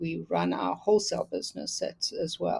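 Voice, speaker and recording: A woman speaks at a moderate pace in a South African accent. The recording is very clean, with a silent background. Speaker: quilter and teacher. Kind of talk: casual interview.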